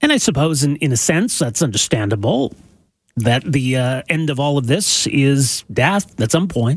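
A man with a Canadian accent and a fairly high pitch speaks at a moderate pace with lively intonation and a somewhat breathy voice. His loudness is very even, and the sound is dry and close with no echo. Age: 40s. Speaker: radio host. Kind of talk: interview. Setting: studio.

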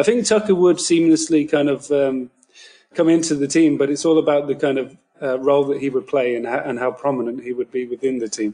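Speaking fairly quickly with a British accent, a man uses a fairly high pitch with a dark, mellow tone and ordinary pitch variation. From United Kingdom. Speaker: basketball writer. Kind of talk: casual podcast chat. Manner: halting, many fillers.

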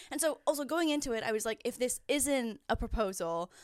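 A normal speaking voice from a woman with a Canadian accent, fairly quick in pace, with ordinary pitch variation, on a very clean recording over a silent background. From Ontario, Canada (near Niagara Falls). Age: 30s. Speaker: YouTuber and podcast host. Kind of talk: casual chat.

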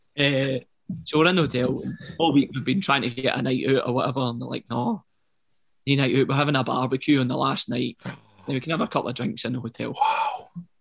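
Talking at a very fast pace, a man with a Glaswegian accent uses a medium pitch with ordinary variation. Vocal fry comes through in his voice. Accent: Glaswegian Scottish. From Glasgow, Scotland. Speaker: professional footballer. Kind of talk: casual interview chat.

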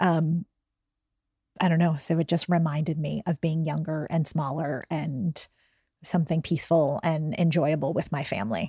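In a dry, close recording with no echo, a woman speaks at a moderate pace in a very deep, low, somewhat breathy voice, dark and mellow in tone, with fairly even intonation. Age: 40s. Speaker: book club guest. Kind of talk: casual chat.

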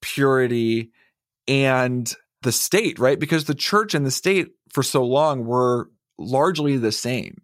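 At a fairly slow pace, a man speaks in an ordinary speaking voice. His pitch is medium, with ordinary variation. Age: 30s. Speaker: shame researcher and author, podcast producer.

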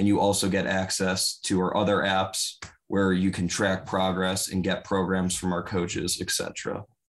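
Against a quiet background, a man speaks at a very deep, low pitch, with monotone, flat intonation, very even loudness and a fairly slow pace. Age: 20s. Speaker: college student gym owner. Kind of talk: podcast interview.

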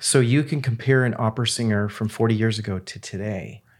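A plain, everyday voice speaks at a moderate pace. Its pitch varies in an ordinary way. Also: man. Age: 50s. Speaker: breathing device company CEO. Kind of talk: casual chat.

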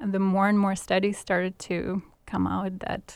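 At a moderate pace, a woman talks in an ordinary speaking voice with a medium pitch. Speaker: cardiologist. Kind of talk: interview.

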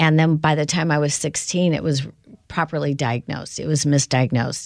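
In a very clean recording with a silent background, a woman with an American accent speaks at a very deep, low pitch with fairly even intonation. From US Midwest (South Bend, Indiana). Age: 60s. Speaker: company founder and CEO. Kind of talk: interview.

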